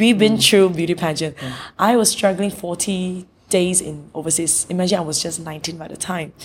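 A woman with a fairly low pitch talks at a moderate pace, her loudness swinging widely. Noticeable background noise runs underneath. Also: ordinary pitch variation. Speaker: beauty pageant organizer. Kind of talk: interview. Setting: in person, seated next to host. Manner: halting, with many fillers.

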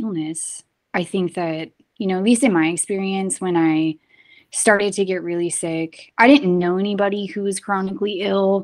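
A woman's unremarkable speaking voice at medium pitch and moderate pace, with ordinary pitch variation, on a very clean recording with a silent background. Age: 30s. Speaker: podcast host, wellness practitioner. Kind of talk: casual conversation.

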